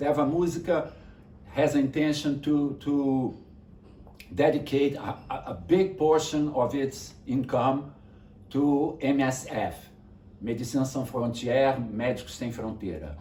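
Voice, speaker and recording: A man with a Brazilian accent speaks fairly slowly in a fairly high, somewhat breathy voice, with audible room echo. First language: Portuguese. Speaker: music teacher and publisher. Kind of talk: online class introduction. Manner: halting, repeats words.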